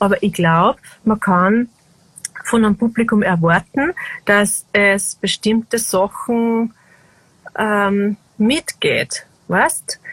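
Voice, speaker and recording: Very slowly and with long, frequent pauses, a woman speaks in a fairly high pitch with ordinary pitch variation and very even loudness, the sound dry and close with no echo. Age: 40s. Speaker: singer-songwriter. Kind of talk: casual conversation. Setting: video call from a small balcony.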